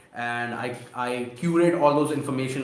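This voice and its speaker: The man's voice comes with audible room echo. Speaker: e-commerce seller and YouTuber; online seller, creator. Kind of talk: live stream Q&A. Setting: live stream. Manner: halting, many fillers and restarts. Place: home room. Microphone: webcam.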